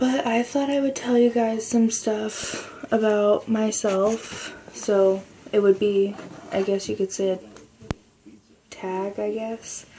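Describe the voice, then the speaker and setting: A woman with a fairly high pitch speaks quietly at a very slow pace, her intonation fairly even. Noticeable background noise sits behind her. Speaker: video blogger. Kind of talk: casual chat. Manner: quiet, speaking lightly.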